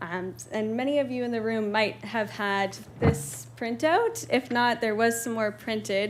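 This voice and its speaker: A woman's voice sits fairly high, with ordinary pitch variation. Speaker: presenter on homelessness research. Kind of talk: presentation to town council. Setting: council meeting room with audience. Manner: fast.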